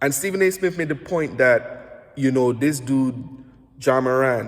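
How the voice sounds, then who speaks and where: With a Saint Lucian accent, a man speaks at a fairly slow pace in a fairly high pitch, with ordinary pitch variation. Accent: Saint Lucian Caribbean English. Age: 30s. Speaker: basketball analyst and podcast host. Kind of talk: casual self-recorded commentary. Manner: halting, many self-corrections.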